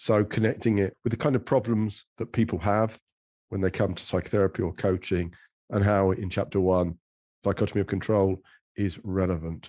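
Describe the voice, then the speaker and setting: A man with an English accent speaks at a fairly low pitch with a dark, mellow tone. His intonation stays fairly even over a quiet background. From England. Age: middle-aged. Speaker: psychotherapist and author. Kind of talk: interview. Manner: halting.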